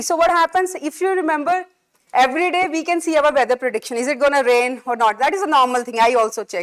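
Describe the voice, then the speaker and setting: A woman speaks loudly with lively intonation. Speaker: physics lecturer. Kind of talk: lecture. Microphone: speaking without mic, too loud with it.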